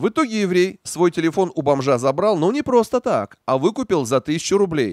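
A man's fairly high voice with very wide pitch swings at a moderate pace, dry and close with no echo, in a very clean recording with a silent background. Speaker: news narrator. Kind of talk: scripted narration. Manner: sarcastic.

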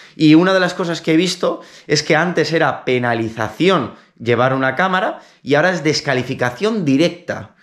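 Against a quiet background, a man with an ordinary speaking voice talks at a moderate pace with lively intonation. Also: fairly high pitch for a man. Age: 30s. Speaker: triathlete YouTuber; triathlete vlogger. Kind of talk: casual vlog. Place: home room. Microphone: phone near.

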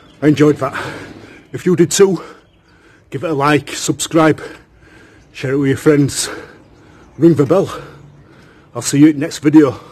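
The voice is somewhat breathy and moves at a moderate pace. Long pauses come often. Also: man. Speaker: video creator. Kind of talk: casual vlog sign-off. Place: garden. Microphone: phone near.

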